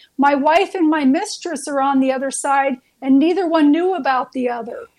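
High pitch and a moderate pace in a woman's put-on character voice.

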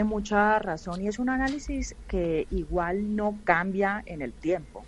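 Using an ordinary speaking voice, a woman talks at a medium pitch and fairly slow pace with lively intonation. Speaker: film and TV producer. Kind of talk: radio panel discussion.

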